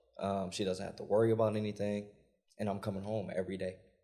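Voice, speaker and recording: Speaking at a fairly quick pace, a man with a fairly low pitch is heard in a room with audible echo. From US Midwest, Milwaukee, Wisconsin. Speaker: entrepreneur. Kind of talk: live panel discussion. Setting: stage with live audience.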